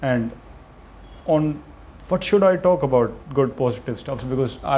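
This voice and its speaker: A man with a Punjabi accent talks at a fairly quick pace in a fairly high pitch with ordinary pitch variation. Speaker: content creator. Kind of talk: unscripted monologue. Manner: halting, with self-corrections.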